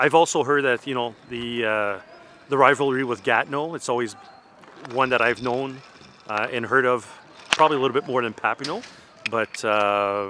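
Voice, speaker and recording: Against noticeable background noise, a man with a Franco-Ontarian accent speaks at a medium pitch and moderate pace, using ordinary pitch variation and long, frequent pauses. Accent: Franco-Ontarian Canadian English. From Eastern Ontario, Canada. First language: French. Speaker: hockey parent. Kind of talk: interview. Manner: hesitant, many fillers.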